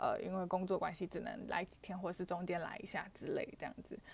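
A woman at medium pitch talks at a fairly quick pace. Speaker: podcaster. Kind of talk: personal storytelling monologue. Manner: halting, many fillers.

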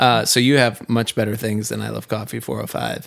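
A man speaks at a medium pitch with vocal fry, recorded very cleanly against a silent background. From New England. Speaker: podcast host and session musician. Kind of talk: casual interview.

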